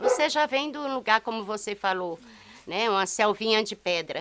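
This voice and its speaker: Moderately paced, lively intonation over noticeable background noise. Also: woman. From Brazil, Maranhão cerrado. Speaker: rural community member. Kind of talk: interview.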